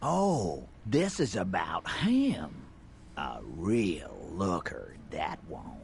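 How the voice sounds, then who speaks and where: A man puts on a character voice and speaks at a very slow pace. Background noise is clearly audible. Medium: video game. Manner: sneering, crude.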